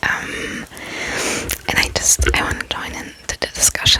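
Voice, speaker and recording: Whispering from a woman at a fairly slow pace, with long, frequent pauses and noticeable background noise. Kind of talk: ASMR whisper ramble. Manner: whispered, soft-spoken, calming.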